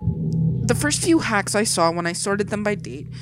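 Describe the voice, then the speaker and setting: Over music in the background, a woman with a fairly low pitch speaks at a moderate pace. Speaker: horror story narrator. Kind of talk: creepypasta story reading.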